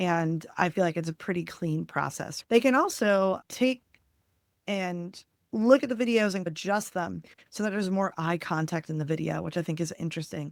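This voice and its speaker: A woman with a New Jersey accent, fairly low pitch, ordinary pitch variation and a moderate pace. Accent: New Jersey American. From New Jersey, US. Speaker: webinar presenter, video marketing trainer. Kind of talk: webinar presentation. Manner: casual, conversational.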